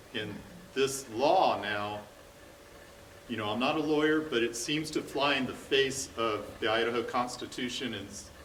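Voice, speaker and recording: Speaking at a moderate pace, a man shows ordinary pitch variation while audible room echo fills the space. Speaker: audience member, parent. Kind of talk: audience question at a public forum. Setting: community forum with live audience in a high school.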